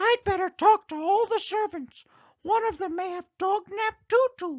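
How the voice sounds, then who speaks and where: At a moderate pace, a put-on character voice comes out squeaky and extremely high. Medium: read story. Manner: eager, upbeat.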